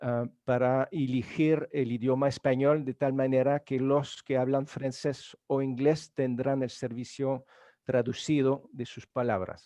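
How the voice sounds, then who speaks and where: A man speaks fairly slowly with hardly any pauses, in a dark, mellow tone at medium pitch and with monotone, flat intonation. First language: French (speaking Spanish). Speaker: event moderator. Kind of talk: event hosting, introductions. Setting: video conference webinar. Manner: halting, many fillers.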